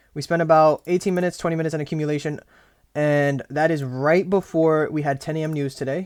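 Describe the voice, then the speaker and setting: A man at a fairly high pitch, with ordinary pitch variation and a very fast pace. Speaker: day trader. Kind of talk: trading journal recap, screen walkthrough. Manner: casual, swearing.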